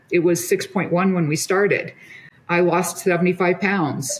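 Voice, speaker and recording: A woman's normal speaking voice, fairly low in pitch, with fairly even intonation at a moderate pace. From US Midwest. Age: 60s. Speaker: physician. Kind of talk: casual chat.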